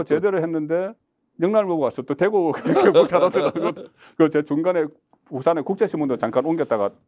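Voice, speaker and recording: A man's high-pitched voice at a fairly quick pace, ordinary pitch variation, quiet background. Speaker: interview guest, political commentator. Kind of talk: interview answer. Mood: relaxed, reminiscing, animated. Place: studio. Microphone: lapel.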